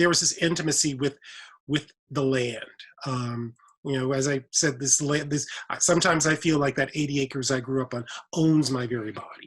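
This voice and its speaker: A somewhat breathy man with an American accent, fairly high in pitch, at a fairly quick pace with fairly even intonation. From Mississippi (Indianola), US South. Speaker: professor, writer. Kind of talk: panel conversation.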